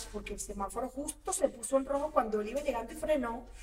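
Against noticeable background noise, a woman speaks very fast at a high pitch with ordinary pitch variation. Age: 40s. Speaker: actress. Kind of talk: casual chat.

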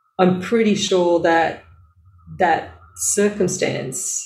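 In an Australian accent, a woman speaks at a fairly low pitch with fairly even intonation. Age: 50s. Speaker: health educator and business owner. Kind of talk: casual chat.

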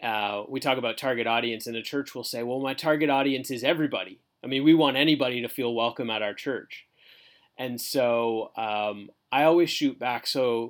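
A man with a Canadian accent speaks at a moderate pace and medium pitch, using ordinary pitch variation in an ordinary speaking voice on a very clean recording with a silent background. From Canada (southern Ontario). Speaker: church marketing director. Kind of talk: casual interview.

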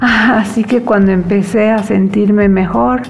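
Fairly slow delivery with fairly even intonation, audible room echo and noticeable background noise. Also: woman. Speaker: psychologist and entrepreneur. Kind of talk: personal testimony.

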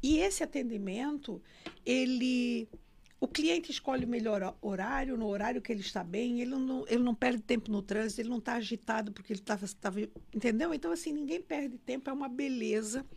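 Talking at a fairly quick pace, a woman uses a high voice whose pitch varies in an ordinary way. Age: 60s. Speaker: numerologist and former bank director. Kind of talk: interview. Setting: studio.

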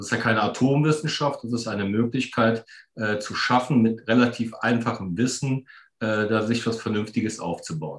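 This man talks at a moderate pace at medium pitch, with ordinary pitch variation and a normal speaking voice. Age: 50s. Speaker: entrepreneur and financial mentor. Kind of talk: casual interview.

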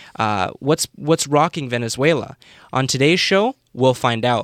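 A man talks at a moderate pace with lively intonation in an ordinary speaking voice. The recording is very clean with a silent background, sounding dry and close with no echo. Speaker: podcast host. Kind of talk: panel discussion. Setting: studio.

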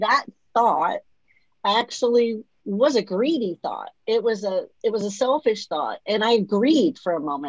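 Her voice is fairly high, with vocal fry and very wide pitch swings. The woman's sound is dry and close, with no echo. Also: moderate pace. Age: 50s. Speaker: podcast host and author. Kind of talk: interview, personal testimony.

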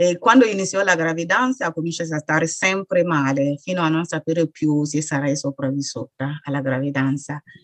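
A woman speaks at a moderate pace with hardly any pauses. Her very deep, low voice shows ordinary pitch variation. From Burkina Faso. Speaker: author and sickle cell patient. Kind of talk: interview testimony.

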